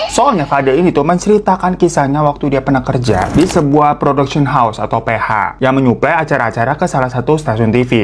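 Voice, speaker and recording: Noticeable background noise fills the clip. The speech goes at a very fast pace. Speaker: horror story narrator and mukbang streamer. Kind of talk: horror storytelling, casual talk to camera.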